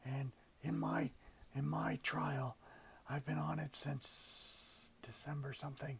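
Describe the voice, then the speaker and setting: A man is speaking. His voice has vocal fry. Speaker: cancer patient vlogger. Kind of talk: casual vlog. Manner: halting.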